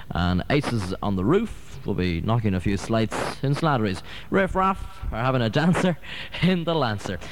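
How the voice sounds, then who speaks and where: Amid noticeable background noise, a man at a medium pitch speaks at a moderate pace with very wide pitch swings. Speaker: radio DJ. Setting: radio studio. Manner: relaxed, chatty ad-lib delivery peppered with 'uh' fillers and small restarts; wry, self-deprecating asides with a dry, joking tone.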